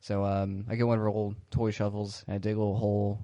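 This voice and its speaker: This man talks at a very fast pace. His fairly low voice stays monotone and flat. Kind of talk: casual comedic podcast banter. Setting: phone call.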